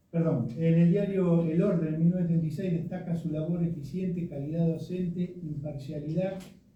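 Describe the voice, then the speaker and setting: A man's high, monotone voice with flat intonation at a moderate pace, in a room with audible echo. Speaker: speaker presenting a tribute to their writer father. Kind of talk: commemorative presentation with slides. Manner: hesitant, many fillers.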